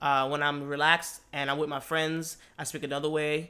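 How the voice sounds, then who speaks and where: Fairly high in pitch, a man talks at a fairly quick pace with a bright, sharp tone. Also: very clean recording, silent background. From born in Brooklyn, raised in Miami, Florida. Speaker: podcast co-host, DJ and musician. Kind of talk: casual chat. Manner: hesitant, many fillers and repeats.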